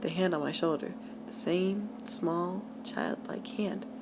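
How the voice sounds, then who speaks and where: There is ordinary pitch variation in the voice, and noticeable background noise. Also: woman. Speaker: amateur creepypasta reader. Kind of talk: read horror story. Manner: stuttering at times.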